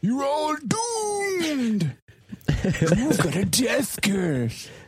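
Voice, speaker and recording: A put-on character voice at a fairly high pitch speaks at a very slow pace. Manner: ominous.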